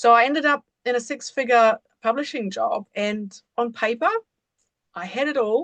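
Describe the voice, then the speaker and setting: A woman speaks with a German accent in a fairly high voice. Her pitch varies in an ordinary way, and the sound is dry and close with no echo. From Germany, rural village. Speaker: embodiment coach. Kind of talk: podcast interview.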